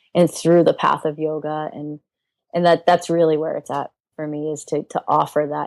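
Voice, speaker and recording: In a slight Rhode Island accent, a woman with a very deep, low pitch talks at a moderate pace in a monotone, flat way, with a dry, close sound, no echo, and a very clean recording over a silent background. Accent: slight Rhode Island accent, scaled down. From Alaska and Rhode Island. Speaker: yoga teacher. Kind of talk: interview. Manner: reflective, with many fillers and repeats.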